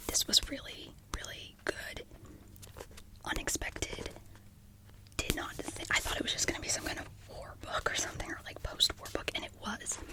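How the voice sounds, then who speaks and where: Someone whispers at a moderate pace with long, frequent pauses, over noticeable background noise. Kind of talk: ASMR book chat, close whisper rambling. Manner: whispered, soft, casual, chatty.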